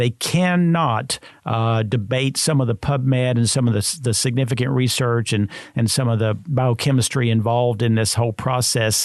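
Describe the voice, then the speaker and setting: A man at medium pitch, moderate pace, ordinary pitch variation and very even loudness. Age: 60s. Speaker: supplement industry expert. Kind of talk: podcast interview. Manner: halting, many filler sounds.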